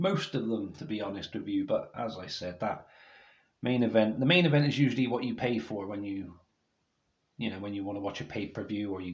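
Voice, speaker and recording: Somewhat breathy, a man talks at a fairly quick pace in a fairly low pitch. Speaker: wrestling DVD reviewer. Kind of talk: video review monologue. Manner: halting, stumbling over words; reading from notes.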